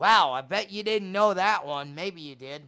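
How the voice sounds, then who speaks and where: Speaking at a fairly slow pace, a man uses a bright, sharp tone and lively intonation. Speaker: conservative talk radio host. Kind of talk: talk radio commentary on news headlines.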